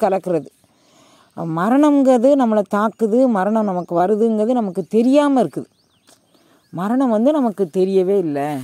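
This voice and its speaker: Against a quiet background with dry sound and no echo, a man with a high pitch and a dark, mellow tone speaks with lively intonation. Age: 70s. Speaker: spiritual teacher. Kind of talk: religious discourse. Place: open country.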